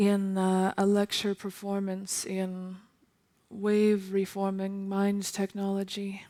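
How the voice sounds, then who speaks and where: The tone is dark and mellow. Intonation stays monotone and flat. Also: woman. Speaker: multidisciplinary composer and new media artist. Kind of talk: lecture performance. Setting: stage with audience. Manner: slow.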